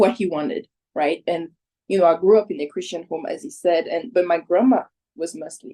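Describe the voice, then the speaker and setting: A woman speaks with a dark, mellow tone at a medium pitch. Her intonation is lively. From Côte d'Ivoire. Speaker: interviewee sharing love story. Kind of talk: casual chat.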